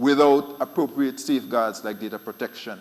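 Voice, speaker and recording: A man with an Eastern Caribbean accent and lively intonation. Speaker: central bank official. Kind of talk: conference panel talk. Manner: fast.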